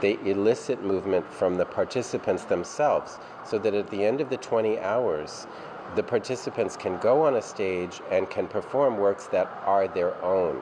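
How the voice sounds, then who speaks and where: A man with an American accent talks at a moderate pace with a fairly low pitch and ordinary pitch variation. His loudness stays very even, with noticeable background noise behind him. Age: 60s. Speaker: dance company director. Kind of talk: interview.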